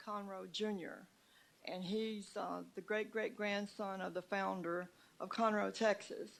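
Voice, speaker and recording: A woman speaks at a fairly slow pace with a Southern US accent. Her pitch sits in the middle range, and her intonation stays fairly even. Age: 70s. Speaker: citizen speaking at town hall. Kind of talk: public comment. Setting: town hall meeting at city hall. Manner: halting.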